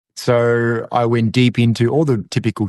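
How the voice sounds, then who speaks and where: The background is quiet. A man with an Australian accent speaks at a medium pitch. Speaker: masculinity coach. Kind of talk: podcast interview.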